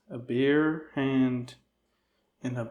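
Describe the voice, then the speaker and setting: Very slowly, a man talks at a medium pitch with an American accent. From Rochester, New York. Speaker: comedy interview host. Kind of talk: comedic interview. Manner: monotone, flat; deadpan.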